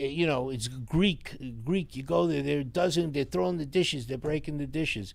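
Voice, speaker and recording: A man with a New York accent and lively intonation. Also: moderate pace. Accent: deep New York. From New York City, Astoria, Queens. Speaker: sign business owner. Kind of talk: casual interview. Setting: live stream.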